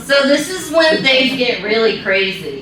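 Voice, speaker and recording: Her pitch swings very widely as this woman talks. Noticeable background noise and audible room echo fill the recording. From Kentucky, rural. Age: 40s. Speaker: wildlife photographer. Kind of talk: conference talk. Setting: stage with audience.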